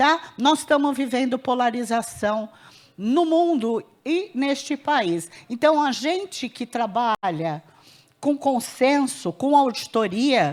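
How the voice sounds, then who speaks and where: A woman's high voice swings very widely in pitch as she talks at a very slow pace. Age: 60s. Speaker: healthcare auditor. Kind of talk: panel discussion at conference.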